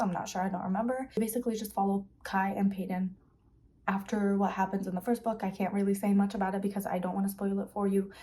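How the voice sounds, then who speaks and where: A woman of medium pitch talks very fast in a somewhat breathy voice with a dark, mellow tone. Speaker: book vlogger. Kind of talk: casual vlog talk.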